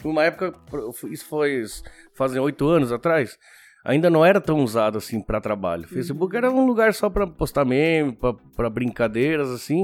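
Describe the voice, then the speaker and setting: A man with a fairly high pitch and very wide pitch swings speaks at a fairly quick pace, with long, frequent pauses. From Argentina. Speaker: podcast host and restaurant owner. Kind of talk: casual interview chat. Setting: studio with cameras.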